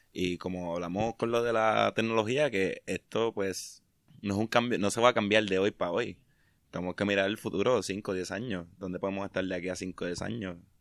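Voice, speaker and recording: A man speaks in an ordinary speaking voice with a fairly low pitch. The sound is dry and close with no echo against a quiet background. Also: fairly even intonation, fairly quick pace. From Puerto Rico, Mayagüez. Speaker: podcast host. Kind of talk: casual chat.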